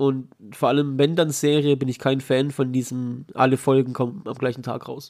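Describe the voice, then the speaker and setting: With a plain, everyday voice, a man of medium pitch speaks at a moderate pace using fairly even intonation. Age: 30s. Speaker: podcast host. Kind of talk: casual chat.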